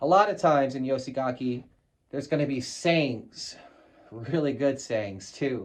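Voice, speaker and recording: A man with an American accent speaks at a moderate pace in a medium pitch, his tone animated and his pitch varying in an ordinary way. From United States. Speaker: militaria collector. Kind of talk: casual show-and-tell video. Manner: casual, animated.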